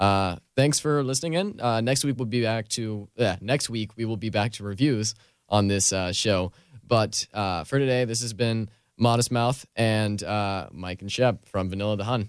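Against a quiet background, a man with an ordinary speaking voice talks at a moderate pace and medium pitch, with ordinary pitch variation. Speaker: music show host. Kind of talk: casual interview. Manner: friendly, upbeat.

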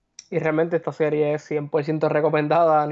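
A man at a fairly high pitch and moderate pace, monotone and flat in intonation. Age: 20s. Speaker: sports broadcasting student, podcast guest. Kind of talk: casual sports talk.

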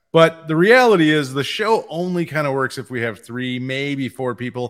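A man with an ordinary speaking voice talks at a moderate pace, his fairly high pitch carrying lively intonation. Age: 50s. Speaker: comics podcast host. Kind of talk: casual chat.

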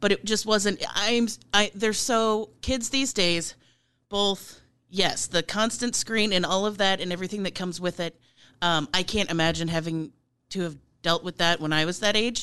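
A woman's medium-pitched voice with a bright, sharp tone, ordinary pitch variation and a moderate pace, against a quiet background. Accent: American. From Nebraska, US Midwest. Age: 40s. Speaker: chef and political candidate. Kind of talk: interview.

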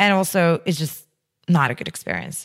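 A woman speaks with a Russian accent in a fairly low pitch. Her intonation stays fairly even, on a very clean recording with a silent background. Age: 30s. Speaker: entrepreneur. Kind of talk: interview.

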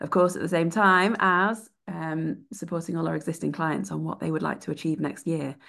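A woman's fairly low voice with vocal fry, ordinary pitch variation and hardly any pauses, over a quiet background. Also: moderate pace. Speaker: PR professional and podcast co-host. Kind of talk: podcast panel discussion.

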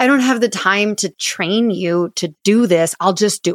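A woman with an ordinary speaking voice talks at a fairly slow pace with ordinary pitch variation, the sound dry and close with no echo. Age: 30s. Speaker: chiropractor and business coach. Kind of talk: casual interview.

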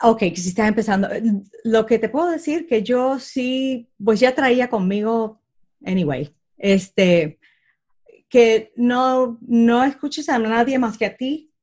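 A woman at a very slow pace, fairly high in pitch, with ordinary pitch variation and a quiet background. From Puerto Rico. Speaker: comedian and aerospace engineer. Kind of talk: interview.

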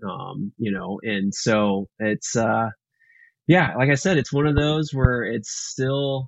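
At a very slow pace, a man speaks with an American accent and medium pitch. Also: lively intonation. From Texas, Houston. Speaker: filmmaker. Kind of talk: interview.

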